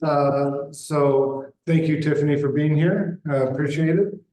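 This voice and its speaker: Audible room echo surrounds a man speaking fairly slowly. His fairly high voice has monotone, flat intonation. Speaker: condo board president. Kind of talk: chairing a board meeting. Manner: loud.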